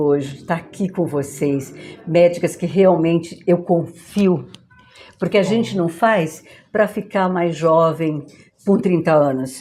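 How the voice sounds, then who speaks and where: With ordinary pitch variation and a fairly low pitch, a woman talks at a fairly slow pace. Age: 60s. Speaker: podcast host. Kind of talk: casual chat. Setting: clinic visit. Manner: animated.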